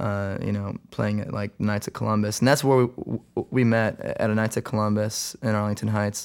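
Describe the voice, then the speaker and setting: A man with an American accent speaks at a moderate pace in an ordinary speaking voice, pitched fairly low with fairly even intonation. The recording is very clean, with a silent background. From US Midwest, Chicago suburbs. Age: 20s. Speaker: rock band singer. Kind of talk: interview. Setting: recording studio.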